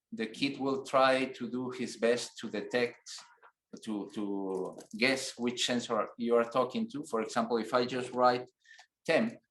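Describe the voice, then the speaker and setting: This man speaks at a fairly slow pace with a non-native accent. His pitch is medium and his intonation fairly even. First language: not English. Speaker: technical instructor. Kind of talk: tutorial. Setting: online webinar with screen share. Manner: halting, with fillers.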